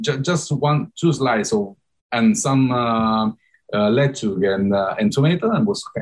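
At a moderate pace, a man with an Italian accent talks in a medium-pitched voice with very wide pitch swings. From Italy. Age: 30s. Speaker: startup CEO. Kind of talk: interview. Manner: halting, many fillers.

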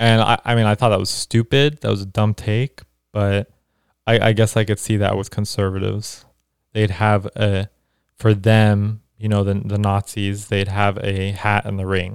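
In a very clean recording with a silent background and a dry, close sound with no echo, a man with a fairly low voice speaks at a moderate pace in a monotone, flat intonation. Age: young. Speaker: podcast host and student. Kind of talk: casual chat.

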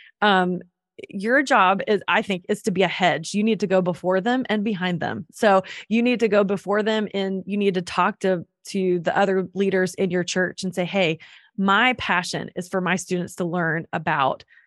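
Against a quiet background, a woman with an American accent and a normal speaking voice talks at a moderate pace, with medium pitch and ordinary pitch variation. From North Carolina. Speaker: children's ministry leader and podcaster. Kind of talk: interview.

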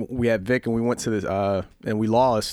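A man talks at a medium pitch. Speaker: podcast host. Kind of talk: casual banter. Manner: casual, slangy, laughing.

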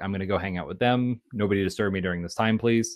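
An unremarkable speaking voice comes through, its pitch varying in an ordinary way. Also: man. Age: 30s. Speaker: engineering manager. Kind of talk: casual interview.

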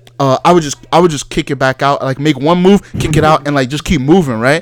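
A man talks very fast at a fairly high pitch. The sound is dry and close with no echo, and there is noticeable background noise. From Nigeria. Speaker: podcast co-host. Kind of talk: casual banter. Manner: casual, profane.

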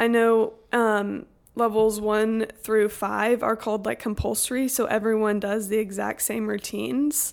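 A woman with an American accent, fairly high-pitched, with an unremarkable speaking voice, fairly even intonation, a fairly slow pace and hardly any pauses, on a very clean recording with a silent background. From Texas, Houston. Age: young. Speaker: college student, CrossFit gym member. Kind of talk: interview, casual chat. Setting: podcast.

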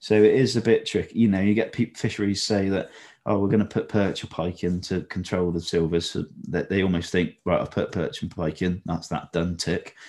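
Against a quiet background, a man with an unremarkable speaking voice talks at a fairly quick pace and fairly low pitch. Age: 20s. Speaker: carp feed company owner and fish breeder. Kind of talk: casual chat.

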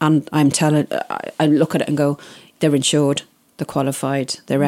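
A woman's very deep, low voice with monotone, flat intonation and a dry, close sound with no echo. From Isle of Man. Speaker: wedding planner. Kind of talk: interview.

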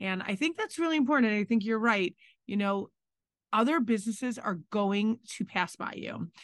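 Against a quiet background, a woman with an unremarkable speaking voice talks at a moderate pace, her fairly high pitch carried by lively intonation. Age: 40s. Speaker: restaurant owner and podcast co-host. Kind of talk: casual chat.

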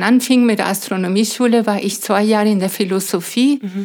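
A woman speaks in a Spanish accent. Her intonation stays fairly even. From Venezuela, Mérida. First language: Spanish (speaking German). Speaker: astrophysicist and science educator. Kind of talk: interview. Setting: in her home.

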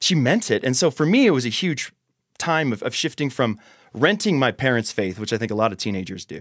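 A man talks at a very fast pace with vocal fry and very wide pitch swings. The recording is very clean, with a silent background. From Austria. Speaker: youth pastor. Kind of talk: casual chat.

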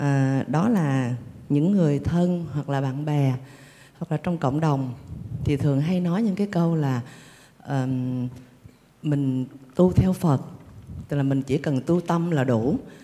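A woman's very deep, low voice carries a dark, mellow tone. She speaks at a fairly slow pace. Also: ordinary pitch variation. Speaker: lay Buddhist participant asking a question. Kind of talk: formal question to teacher. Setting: temple retreat with audience. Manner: halting.

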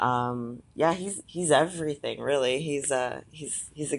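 At a fairly slow pace, a woman speaks with a very deep, low pitch, vocal fry, and ordinary pitch variation over a quiet background. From Atlantic Canada. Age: 30s. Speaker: figure competitor. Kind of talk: casual interview.

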